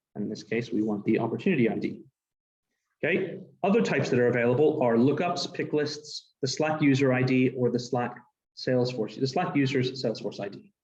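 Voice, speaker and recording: Somewhat breathy male speech at a fairly quick pace, with ordinary pitch variation. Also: medium pitch for a man. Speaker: developer advocate. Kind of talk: technical presentation demo. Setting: live presentation with in-person and Zoom audience. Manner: fast.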